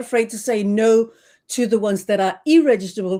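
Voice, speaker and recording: On a very clean recording with a silent background, a woman with a Danish accent speaks at a fairly quick pace in a fairly high pitch and a dark, mellow tone. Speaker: trademark consultant. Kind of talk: interview. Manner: halting, many fillers.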